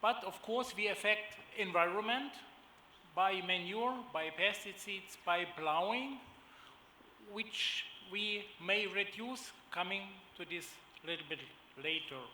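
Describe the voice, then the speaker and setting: In a German accent, a raised, projected voice moves at a very slow pace with long, frequent pauses amid audible room echo. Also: man, high pitch for a man, ordinary pitch variation. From Germany. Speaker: agribusiness executive. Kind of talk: panel presentation. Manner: hesitant, many fillers.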